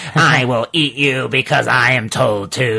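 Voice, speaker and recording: A man's put-on character voice, squeaky and raspy, at medium pitch. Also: moderate pace. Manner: cartoonish, deadpan threat.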